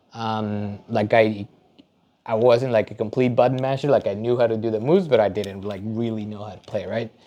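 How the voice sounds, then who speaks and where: A man with a Spanish accent speaks at a fairly quick pace and medium pitch. His tone is dark and mellow, with fairly even intonation and big swings in loudness. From Mexico. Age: 30s. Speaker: data engineer and fighting game competitor. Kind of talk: casual interview. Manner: hesitant, many fillers.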